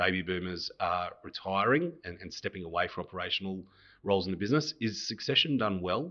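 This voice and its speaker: With an Australian accent, a man talks at a fairly quick clip and ordinary pitch variation. His pitch is very deep and low. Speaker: podcast host, accountant. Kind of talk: interview. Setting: office.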